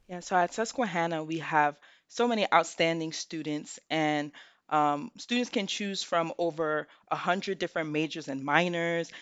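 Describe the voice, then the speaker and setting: Here is an unremarkable speaking voice with an American accent. The pace is moderate and the pitch variation ordinary. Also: woman, fairly low pitch for a woman. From New York City (Bronx). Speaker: college admissions counselor. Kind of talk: interview.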